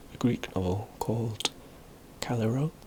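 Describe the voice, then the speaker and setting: Soft-spoken, a man talks at a fairly slow pace. His pitch is medium, with ordinary variation. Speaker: ASMR video creator. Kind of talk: ASMR educational talk about literary history. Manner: soft-spoken, hesitant with frequent filler words.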